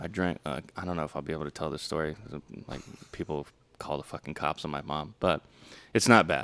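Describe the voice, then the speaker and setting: A man's very deep, low voice with vocal fry, a fairly quick pace and long, frequent pauses. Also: ordinary pitch variation. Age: 20s. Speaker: podcast host. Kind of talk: casual chat. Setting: studio. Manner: animated.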